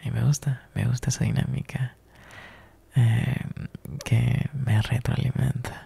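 A man's put-on character voice, dark and mellow with a husky, rough edge and vocal fry, at a fairly slow pace with little pitch movement. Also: medium pitch for a man.

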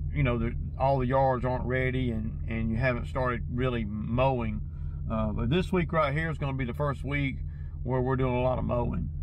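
A man at a fairly quick pace, dry with no echo, amid noticeable background noise. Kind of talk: casual vlog chat. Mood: mildly frustrated. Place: car.

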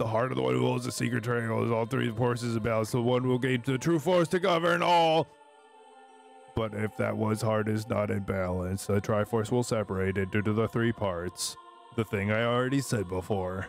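A man speaks in a put-on character voice at a fairly quick pace. Clear music plays in the background. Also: medium pitch for a man. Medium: fan dub. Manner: solemn, portentous, parodied.

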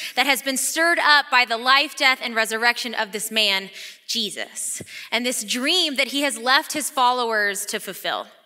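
A woman uses a raised, projected voice with a bright, sharp tone. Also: quiet background. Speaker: associate pastor. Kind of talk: sermon. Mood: warm, excited, laughing. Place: hall. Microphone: headset.

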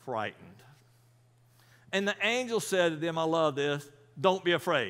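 A man with a fairly high pitch speaks at a fairly slow pace, his clear, smooth, fairly bright tone moving through big pitch swings.

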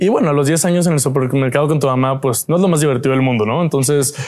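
Ordinary pitch variation marks this voice. The speaker is a man. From Mexico, Monterrey; Nuevo León, Mexico. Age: 20s. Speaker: entrepreneur and inventor; guest. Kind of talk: interview. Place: studio. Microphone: lapel.

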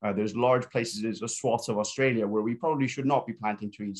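A man talks in a monotone with flat intonation. The background is quiet. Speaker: biology researcher and lecturer; panelist. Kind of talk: panel discussion. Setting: video call. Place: home room. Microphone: video call.

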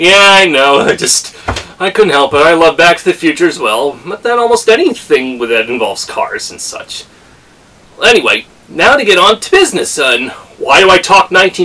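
Using a raised, projected voice, a man speaks at a moderate pace with very wide pitch swings. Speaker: racing fan vlogger. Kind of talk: casual vlog chat. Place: home room. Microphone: camera far.

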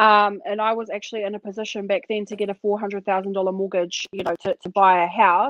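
A woman with a New Zealand accent speaks at a moderate pace against a quiet background, the sound dry with no echo. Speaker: podcast co-host. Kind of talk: casual chat. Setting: video call. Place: home room. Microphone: video call.

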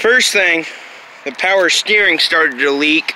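The sound is dry with no echo, though light background noise is present. A man speaks at a fairly slow pace with ordinary pitch variation. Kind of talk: casual vlog chat. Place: street. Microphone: phone near.

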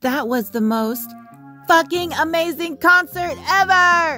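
A female-sounding, cartoonish character voice with an extremely high pitch for a woman moves at a fairly slow pace. Clear music plays in the background.

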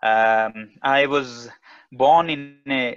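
A man's voice with fairly even intonation against a quiet background. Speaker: guest. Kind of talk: talk to an online audience. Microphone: earbuds.

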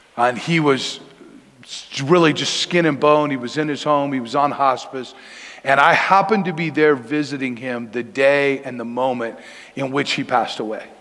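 With an American accent, a man talks at a moderate pace using ordinary pitch variation. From Denver, Colorado. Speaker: pastor. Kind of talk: sermon. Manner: casual, conversational. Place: church.

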